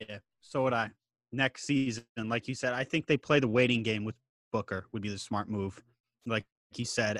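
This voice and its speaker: Over a very clean recording with a silent background and a dry, close sound with no echo, a man with an unremarkable speaking voice talks at a moderate pace with ordinary pitch variation. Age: 30s. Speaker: podcast co-host. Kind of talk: casual chat.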